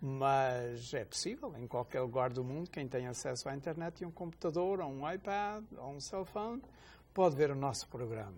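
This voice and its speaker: Fairly high-pitched and somewhat breathy, a man talks at a moderate pace with lively intonation. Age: 60s. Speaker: deacon, religious TV host. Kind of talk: religious TV talk show, casual conversation.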